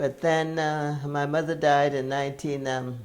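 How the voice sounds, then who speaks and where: A woman's very deep, low voice with an American accent. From US South, James Island, South Carolina. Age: 90s. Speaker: centenarian interviewee. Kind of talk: oral history interview. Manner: halting.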